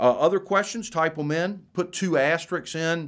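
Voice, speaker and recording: A man's speech moves at a moderate pace, carrying an American accent. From Florida. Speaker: university lecturer hosting a webcast. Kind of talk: live webcast lecture with viewer questions. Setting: live online broadcast. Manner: halting, many fillers and restarts.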